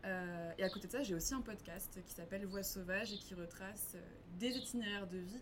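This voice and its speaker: Amid noticeable background noise and audible room echo, a woman at medium pitch talks at a fairly quick pace with fairly even intonation. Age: 20s. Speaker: environmental nonprofit communications manager. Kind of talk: casual interview. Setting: café.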